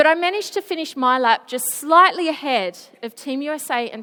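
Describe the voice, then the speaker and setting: A woman with an Australian accent speaks at a moderate pace in an animated tone. Her intonation is lively and her tone bright and sharp. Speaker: Paralympic swimmer, motivational speaker. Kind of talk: school presentation. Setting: school assembly stage.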